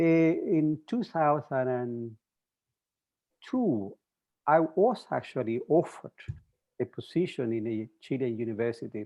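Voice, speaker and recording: A man speaks at a medium pitch in a dark, mellow tone with lively intonation. His pace is fairly slow, broken by long, frequent pauses. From Chile. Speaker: mathematics professor. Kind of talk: interview. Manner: halting.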